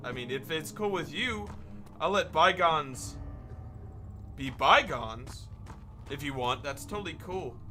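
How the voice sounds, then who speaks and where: Over music in the background, a man with a fairly high pitch talks at a fairly slow pace, using lively intonation and long, frequent pauses, with audible room echo in the room. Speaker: gaming youtuber. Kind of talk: let's play commentary. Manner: animated.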